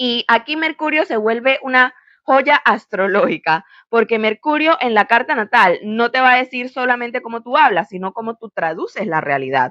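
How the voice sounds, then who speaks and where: A woman's fairly high, bright, sharp voice, animated and with lively intonation, at a moderate pace in a dry, close sound with no echo against a quiet background. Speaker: astrologer. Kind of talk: educational monologue.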